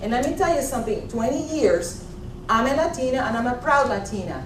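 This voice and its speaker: Lively intonation marks a high-pitched woman's speech, heard through audible room echo and noticeable background noise. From Puerto Rico. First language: Spanish. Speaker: executive coach and former trial attorney. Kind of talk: motivational talk. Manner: animated.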